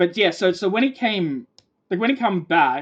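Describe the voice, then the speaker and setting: A woman with an Australian accent, lively intonation and a fairly quick pace. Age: 20s. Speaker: gaming streamer. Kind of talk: casual chat. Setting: live stream. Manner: cadence like a New Zealander.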